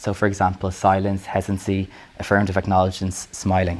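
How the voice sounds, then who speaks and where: In an Irish accent, a man with a fairly low pitch talks at a very fast pace. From Ireland. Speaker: academic lecturer. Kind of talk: lecture.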